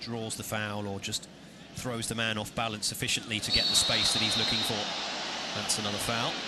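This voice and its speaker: Over noticeable background noise and audible room echo, a man with an English accent speaks at a medium pitch in a monotone, flat intonation. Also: moderate pace. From England. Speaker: football commentator. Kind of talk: live commentary.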